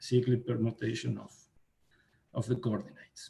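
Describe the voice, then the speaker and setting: A man with a Spanish accent speaks in a somewhat breathy voice. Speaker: mathematician. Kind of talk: academic lecture. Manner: halting, many fillers. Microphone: too quiet for listeners.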